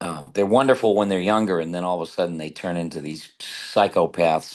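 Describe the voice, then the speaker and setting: A man with an ordinary speaking voice, a fairly quick pace, and ordinary pitch variation over a quiet background. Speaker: voice actor, radio personality, musician, author. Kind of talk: interview answer.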